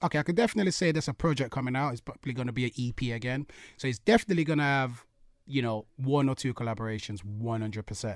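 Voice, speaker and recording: In a very clean recording with a silent background and a dry, close sound with no echo, a man of medium pitch talks very fast with lively intonation. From UK. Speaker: musician. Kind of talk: radio interview. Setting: studio. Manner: animated.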